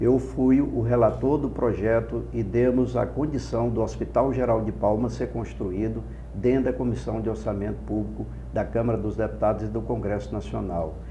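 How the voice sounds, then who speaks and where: A man with a very deep, low pitch and very wide pitch swings at a moderate pace, with audible room echo and noticeable background noise. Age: 60s. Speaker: politician, gubernatorial candidate. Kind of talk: political interview. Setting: studio. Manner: impassioned oratorical.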